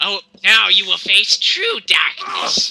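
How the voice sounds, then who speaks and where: A man adopts a put-on character voice and talks at a fairly slow pace. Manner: menacing.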